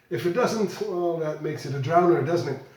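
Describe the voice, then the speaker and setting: Speaking with a Flemish accent, a man has a high-pitched voice and ordinary pitch variation. Noticeable background noise and audible room echo fill the recording. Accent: Belgian Dutch (Flemish) accent in English. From Belgium. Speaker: whisky blogger. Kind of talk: whisky tasting review. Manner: halting, with repetitions.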